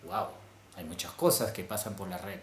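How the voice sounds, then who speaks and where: A man with a Peruvian accent speaks, his pitch swinging very widely. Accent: Peruvian Spanish (Lima). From Lima, Peru. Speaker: vlogger. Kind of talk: casual talk to camera.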